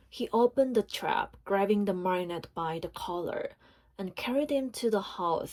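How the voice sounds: The clip features reading. It is done in a natural reading voice.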